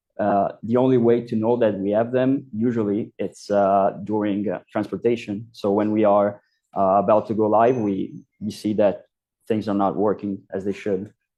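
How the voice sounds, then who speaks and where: This man talks at a moderate pace in a fairly low pitch, his intonation flat and monotone. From Italy. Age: 20s. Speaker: software developer. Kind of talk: conference talk. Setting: stage with audience. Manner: hesitant, many fillers.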